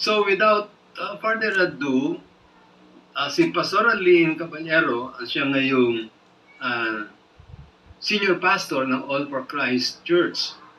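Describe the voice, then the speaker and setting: A man speaks at a high pitch with very wide pitch swings. His pace is very slow, with long, frequent pauses and noticeable background noise. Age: 70s. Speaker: pastor. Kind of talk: online prayer meeting hosting.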